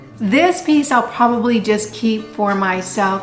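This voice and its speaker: A woman with an American accent speaks at a fairly high pitch, with audible room echo and noticeable background noise. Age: 60s. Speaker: thrift vlogger. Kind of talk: casual show-and-tell vlog.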